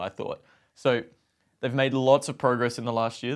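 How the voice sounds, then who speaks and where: A man is speaking. The background is quiet. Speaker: podcast co-host. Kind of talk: podcast discussion. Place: home room.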